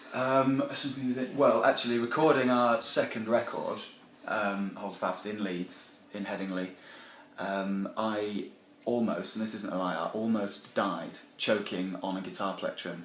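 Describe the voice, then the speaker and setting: Background noise is noticeable, and the room echoes audibly. A man speaks at a fairly low pitch. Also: ordinary pitch variation, fairly slow pace. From Yorkshire, Sheffield. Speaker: band member, musician. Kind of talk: casual interview. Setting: backstage at a music festival. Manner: hesitant, lots of fillers.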